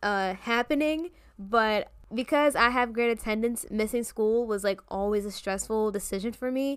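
A woman with an American accent speaks at a moderate pace in a fairly high pitch, with an unremarkable speaking voice. The recording is very clean, with a silent background. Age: 20s. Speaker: podcast host, college student. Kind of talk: casual solo podcast monologue.

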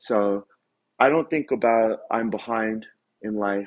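Speaking at a fairly slow pace, a man with a fairly low pitch uses an ordinary speaking voice. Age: 40s. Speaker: martial artist. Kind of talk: casual chat.

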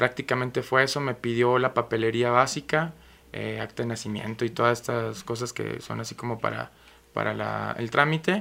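At a moderate pace, a man's voice comes across bright and sharp in tone. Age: 30s. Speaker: theatre producer and radio host, home buyer. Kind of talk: interview.

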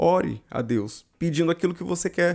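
In a very clean recording with a silent background, a man speaks with a Brazilian accent. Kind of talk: fervent prayer to God in the second person, spoken aloud. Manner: conversational, didactic.

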